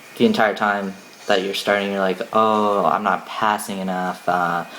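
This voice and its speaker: The delivery is fairly slow and monotone, with flat intonation over noticeable background noise. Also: man. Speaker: vlogger. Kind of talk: casual vlog talk. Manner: casual, hesitant with many fillers.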